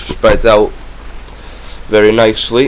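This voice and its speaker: A man in a Welsh accent at a fairly slow pace. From Wales. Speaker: magic tutorial youtuber. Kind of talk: tutorial. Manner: casual, hesitant with fillers.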